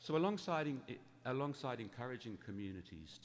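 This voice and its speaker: Speaking at a moderate pace in an English accent, a man lets his pitch swing very widely. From England. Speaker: charity founder. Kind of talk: talk to church congregation. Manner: conversational.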